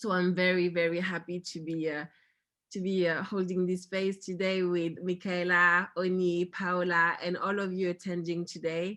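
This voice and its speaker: Moderately paced speech from a woman with a French accent, fairly low in pitch, bright and sharp in tone, with monotone, flat intonation. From France. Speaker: company founder and panel host. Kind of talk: virtual panel discussion. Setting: video call. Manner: halting, many fillers.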